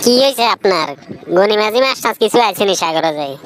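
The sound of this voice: This is a cartoonish character voice. It moves at a fairly quick pace. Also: female-sounding voice, medium pitch for a woman.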